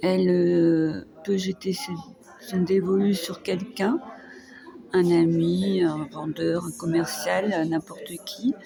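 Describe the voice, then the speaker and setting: A woman's calm voice at a very slow pace, with music in the background. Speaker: vlogger, care worker. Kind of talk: personal vlog monologue. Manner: calm, hesitant.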